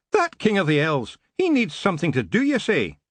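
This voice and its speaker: A man puts on a character voice with a high pitch. He talks at a fairly quick pace against a quiet background. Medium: read story. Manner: boisterous, proud.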